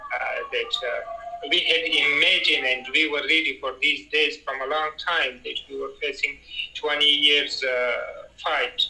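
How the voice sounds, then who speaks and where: The man takes his time, talking fairly slowly. Clear noise can be heard behind him. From Afghanistan. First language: not English. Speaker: Afghan interviewee. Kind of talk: interview. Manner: halting.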